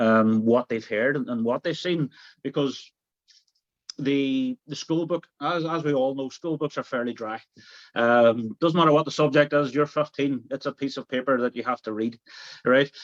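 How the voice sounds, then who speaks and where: A man with a strong Derry accent at a moderate pace and fairly high pitch, with ordinary pitch variation and a dry, close sound with no echo. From Northern Ireland, Derry. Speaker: tour guide. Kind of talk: interview. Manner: hesitant, repeats words.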